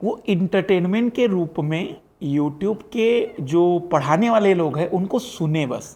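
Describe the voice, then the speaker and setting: A man with a high voice and a dark, mellow tone speaks with hardly any pauses. The background is quiet. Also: ordinary pitch variation. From Maharashtra, India. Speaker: exam coaching teacher. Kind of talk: casual chat.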